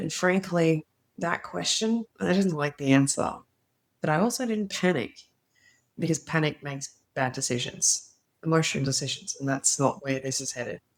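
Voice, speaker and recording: With an Australian accent, a woman with a very deep, low voice speaks at a moderate pace with lively intonation and long, frequent pauses. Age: 40s. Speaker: former opera singer, teacher, voice mentor. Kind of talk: casual talk to camera.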